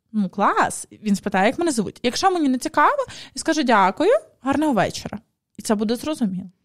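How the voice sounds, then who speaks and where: Over a quiet background, a woman with a high pitch talks at a fairly quick pace, her pitch swinging very widely. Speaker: podcast host. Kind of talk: podcast conversation. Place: studio. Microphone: studio mic.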